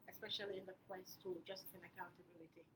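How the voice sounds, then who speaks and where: Soft-spoken, a woman speaks at a medium pitch with monotone, flat intonation. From Gambia. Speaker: activist. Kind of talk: panel discussion.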